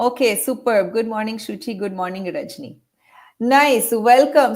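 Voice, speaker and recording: Her American accent comes through as a woman talks in a fairly high pitch with lively intonation and an animated tone. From California, US. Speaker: workshop facilitator on exam stress. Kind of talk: interactive online webinar. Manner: animated, encouraging.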